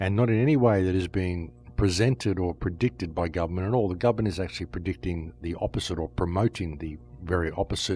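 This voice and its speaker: A man with a very deep, low pitch talks very fast, somewhat breathy, with ordinary pitch variation. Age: 60s. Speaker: podcast host. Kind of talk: monologue commentary.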